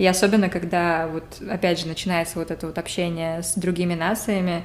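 A woman's fairly low voice stays monotone, with flat intonation throughout. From Saint Petersburg, Russia. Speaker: podcast co-host. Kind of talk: casual chat.

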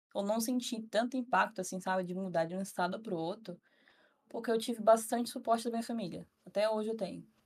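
A woman with an unremarkable speaking voice, fairly high in pitch, with ordinary pitch variation. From northern Brazil, Tocantins (Araguaína). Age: 20s. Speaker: psychology student. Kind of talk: casual chat.

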